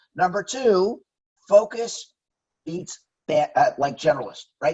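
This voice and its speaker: The voice belongs to a man. He sounds animated. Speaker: company director and author. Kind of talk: interview. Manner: fast.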